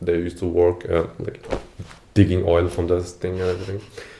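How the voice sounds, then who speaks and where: Over noticeable background noise, a man with a very deep, low pitch speaks at a fairly quick pace. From India, Assam (Duliajan). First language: Assamese. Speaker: former international student, web engineer. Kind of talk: podcast interview. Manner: casual, many fillers.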